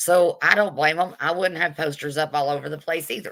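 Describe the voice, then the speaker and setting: Speaking at a fairly quick pace, a woman with a very deep, low pitch and a bright, sharp tone shows ordinary pitch variation. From Texas, Collin County. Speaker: YouTube commentator. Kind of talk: livestream rant. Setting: livestream. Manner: animated.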